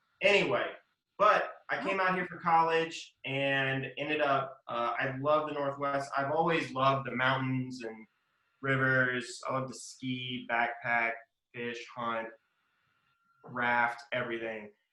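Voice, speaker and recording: A man with an American accent at a very slow pace, with audible room echo. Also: medium pitch for a man, ordinary pitch variation. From US South, Mississippi. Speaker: lawyer. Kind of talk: interview. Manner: casual, with frequent fillers.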